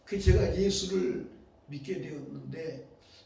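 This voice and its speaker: A man with a fairly high pitch, very wide pitch swings and a very slow pace, amid noticeable background noise and audible room echo. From South Korea, Hapcheon (Gyeongsang). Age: 70s. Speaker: pastor. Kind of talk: sermon. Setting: church with congregation.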